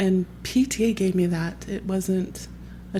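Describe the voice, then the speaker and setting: A woman speaks at a fairly low pitch with an American accent. Her tone is dark and mellow, and somewhat breathy. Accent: Southern, comes out around other Southerners. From Texas. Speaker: parent association leader. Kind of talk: podcast interview.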